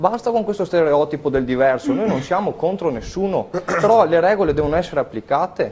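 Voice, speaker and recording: A man with a high pitch, lively intonation and an animated tone. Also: fairly quick pace, hardly any pauses. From Veneto, Italy. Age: 20s. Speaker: political activist. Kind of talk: televised political debate. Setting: TV studio.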